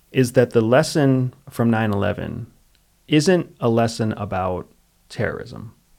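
At a fairly slow pace, a man with a normal speaking voice and an American accent speaks at medium pitch with ordinary pitch variation. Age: 40s. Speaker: former spy and military veteran, podcast host. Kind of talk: casual chat.

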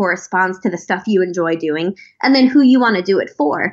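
A woman with an ordinary speaking voice, lively intonation and a fairly quick pace. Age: 20s. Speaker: think tank policy fellow. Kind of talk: interview.

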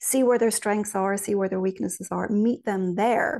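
A woman speaks at a moderate pace with an Irish accent. Her pitch sits in the middle range. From Ireland. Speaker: spiritual medium and author. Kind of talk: interview conversation.

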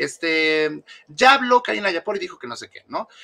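At a moderate pace, a man talks. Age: 30s. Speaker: former member of a celebrity fan support group. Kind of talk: interview.

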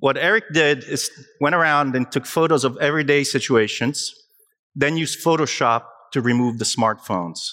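A man with an Italian accent talks in a fairly high pitch and a bright, sharp tone, with ordinary pitch variation. The recording is very clean, with a silent background. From Italy, Naples. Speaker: digital health consultant. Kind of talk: conference talk. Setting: stage with audience. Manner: animated.

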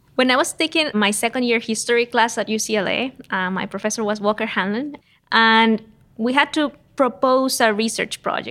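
A woman speaks in a Spanish accent at a fairly high pitch and moderate pace. Her pitch varies in an ordinary way, and the recording is very clean with a silent background. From Costa Rica, San Jose. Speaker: economics professor. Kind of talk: interview.

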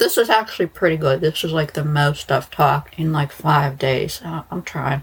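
A woman talks at a moderate pace in a low pitch with a slightly husky edge. Her pitch variation is ordinary.

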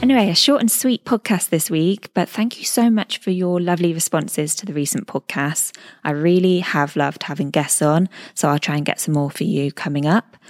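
A woman with a British accent speaks at a fairly quick pace, her fairly low voice full of lively intonation. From England. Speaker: podcast host, new mother. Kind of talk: casual solo chat. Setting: recording at in-laws' house. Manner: chatty.

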